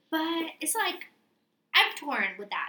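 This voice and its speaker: This raised, projected voice has a bright, sharp tone, lively intonation and a very slow pace. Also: woman. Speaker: podcast co-host. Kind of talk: casual chat. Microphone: computer mic, distorted.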